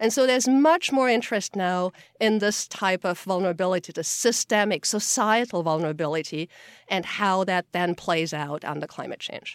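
Lively intonation at a moderate pace comes through in a very clean recording with a silent background and a dry, close sound with no echo. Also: woman, medium pitch for a woman. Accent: German. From Austria. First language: German. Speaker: geographer and climate report author. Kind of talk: interview.

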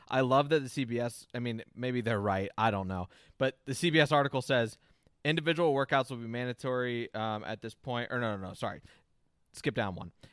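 A man with an ordinary speaking voice talks at a fairly quick pace in a medium pitch with ordinary pitch variation. The recording is very clean, with a silent background and a dry, close sound with no echo. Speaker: podcast host. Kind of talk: casual chat.

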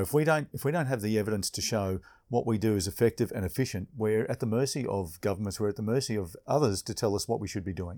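Very fast and with hardly any pauses, a man talks in a fairly low pitch with a dark, mellow tone and lively intonation on a very clean recording with a silent background. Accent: Australian. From Queensland, Australia. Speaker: police inspector. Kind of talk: interview conversation. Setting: hotel reception.

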